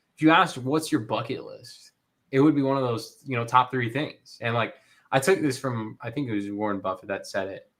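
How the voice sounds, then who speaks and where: This man has a medium pitch and speaks fairly quickly with ordinary pitch variation and big swings in loudness. The recording is very clean, with a silent background. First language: not English. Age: 20s. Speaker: LEGO content creator and author. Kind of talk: casual interview chat. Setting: live stream. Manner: halting, many fillers and restarts.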